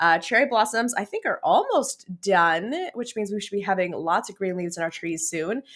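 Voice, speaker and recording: Loud and animated, this enthusiastic voice with a Canadian accent has a bright, sharp tone, ordinary pitch variation and a fairly quick pace in a very clean recording with a silent background. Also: woman. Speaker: business coach and livestream host. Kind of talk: live-stream chat with viewers. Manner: animated, enthusiastic.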